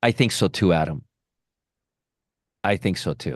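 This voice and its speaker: A man speaks with vocal fry and very wide pitch swings. The sound is dry and close, with no echo. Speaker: stock trading educator. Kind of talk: live trading stream. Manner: fast.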